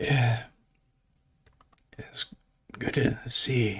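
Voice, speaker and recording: This is a put-on character voice from a man. It sounds raspy and strained, at a medium pitch. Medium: actual play.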